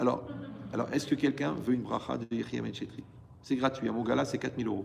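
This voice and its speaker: Talking at a very fast pace, a man with a medium pitch shows vocal fry and big swings in loudness. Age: 60s. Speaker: rabbi teaching Torah. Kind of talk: Torah lecture to a live audience. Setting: hall with audience. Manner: animated, conversational with asides.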